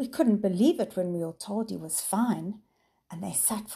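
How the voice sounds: Near-silent surroundings behind a natural reading voice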